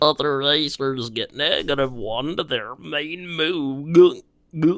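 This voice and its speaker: A put-on character voice from a man, fairly high-pitched, with ordinary pitch variation and a fairly slow pace. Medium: solo performance.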